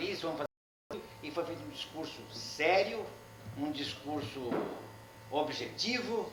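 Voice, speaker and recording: Amid noticeable background noise and audible room echo, a man with a fairly high pitch speaks at a moderate pace with very wide pitch swings. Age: 60s. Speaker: honoree and veteran bank union member. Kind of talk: speech at union ceremony.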